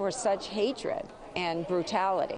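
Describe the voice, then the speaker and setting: A fairly slow pace with ordinary pitch variation, over noticeable background noise. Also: woman. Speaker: mother of a killed journalist. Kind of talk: news conference statement. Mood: grave, emotional.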